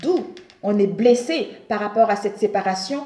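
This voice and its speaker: Moderately paced speech from a woman, set against noticeable background noise. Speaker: tarot reader. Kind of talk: tarot reading monologue. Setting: home, at a table.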